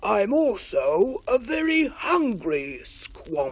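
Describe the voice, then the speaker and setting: A put-on character voice, high in pitch and very slow in pace. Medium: read story. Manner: angry, loud and proud.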